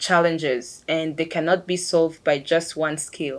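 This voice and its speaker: Recorded very cleanly against a silent background, a woman with a non-native accent speaks at a moderate pace. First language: not English. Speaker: engineer. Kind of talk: interview monologue. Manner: hesitant with fillers.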